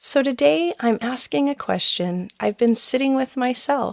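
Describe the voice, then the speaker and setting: Soft-spoken and lively in intonation, a woman talks at a fairly slow pace in a very clean recording with a silent background and a dry, close sound with no echo. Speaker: parenting coach and podcast host. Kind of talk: personal reflective podcast talk.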